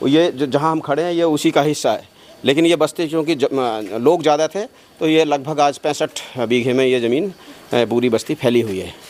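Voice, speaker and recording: A man's fairly high voice with ordinary pitch variation amid noticeable background noise. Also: moderate pace. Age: 60s. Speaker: village elder. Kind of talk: interview. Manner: hesitant.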